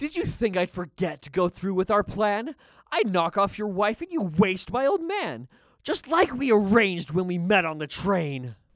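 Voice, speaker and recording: A put-on character voice at middle pitch moves along at a moderate pace. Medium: audio drama. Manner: charming, sing-song rhyming.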